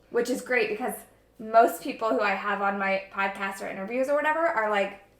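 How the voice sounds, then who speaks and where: Fairly high-pitched and animated, a woman talks at a fairly quick pace with lively intonation, amid audible room echo and noticeable background noise. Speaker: yoga and wellness podcast host. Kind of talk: casual chat while baking. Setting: kitchen at sister's house. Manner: loud.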